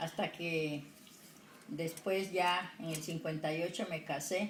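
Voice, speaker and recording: Her voice somewhat breathy, a woman speaks very slowly. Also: fairly low pitch for a woman, ordinary pitch variation. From Colombian Pacific coast, El Charco, Nariño. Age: 70s. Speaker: retired secretary and homemaker. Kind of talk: interview. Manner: halting.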